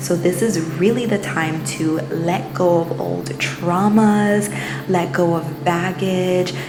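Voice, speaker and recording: Over music in the background, a woman with a fairly low pitch speaks at a very slow pace with fairly even intonation. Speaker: spirituality and mindfulness channel host. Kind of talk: casual talk to camera.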